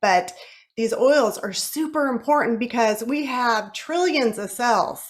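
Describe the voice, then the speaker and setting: A woman speaks in an animated tone with ordinary pitch variation. The recording is very clean, with a silent background. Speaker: wellness product presenter. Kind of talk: sales pitch.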